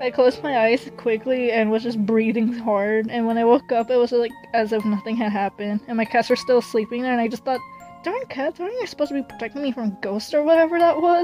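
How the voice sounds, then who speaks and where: Music plays behind a woman who talks very fast at a fairly high pitch with ordinary pitch variation. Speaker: hobby artist. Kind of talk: casual storytime talk. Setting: phone microphone. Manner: hesitant, stumbling.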